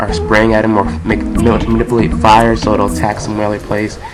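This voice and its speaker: Against noticeable background noise, a man speaks at a moderate pace with a fairly low pitch. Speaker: game reviewer. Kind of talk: video game review narration. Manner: casual.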